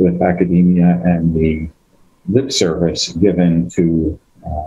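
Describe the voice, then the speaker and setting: A man's somewhat breathy voice with a Boston accent. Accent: American (Boston area). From Massachusetts, Greek immigrant neighborhood near Boston. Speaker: biotech executive and scientist. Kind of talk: panel discussion.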